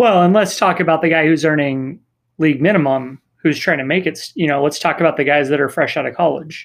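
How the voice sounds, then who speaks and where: A man talks at a fairly quick pace in a fairly high voice with ordinary pitch variation. It is a normal speaking voice, set against a quiet background. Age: 30s. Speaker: soccer supporters group leader and youth coach. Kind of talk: casual chat.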